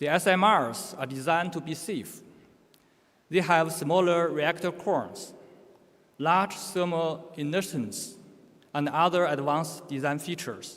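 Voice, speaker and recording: A man with a Chinese accent, fairly high in pitch, fairly slow, with ordinary pitch variation. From China. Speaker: conference speaker on nuclear safety. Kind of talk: conference presentation. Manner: halting, with self-corrections.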